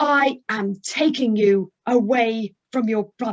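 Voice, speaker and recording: A put-on character voice, female-sounding and fairly high in pitch, at a fairly slow pace. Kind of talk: firm, authoritative, without shouting. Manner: controlling, commanding.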